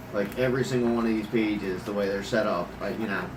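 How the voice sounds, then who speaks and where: A man speaks with fairly even intonation. Noticeable background noise and audible room echo fill the recording. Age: 30s. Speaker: gun hobbyist vlogger. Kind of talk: casual talk to camera. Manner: halting, many fillers.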